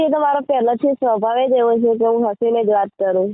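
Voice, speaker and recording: Her pitch is high for a woman. She uses ordinary pitch variation. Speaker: caller. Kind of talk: phone call chat. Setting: phone call. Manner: laughing while talking.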